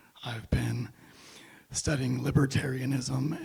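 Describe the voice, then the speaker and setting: A man's medium-pitched voice, flat and monotone, at a fairly slow pace. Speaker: podcast guest, libertarianism enthusiast. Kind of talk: casual chat. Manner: hesitant, many fillers.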